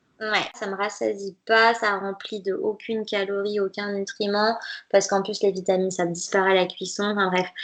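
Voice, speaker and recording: In a flat, monotone delivery, a woman talks at a moderate pace and a medium pitch. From France, Nantes (Brittany). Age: 20s. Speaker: dietitian. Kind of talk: podcast interview.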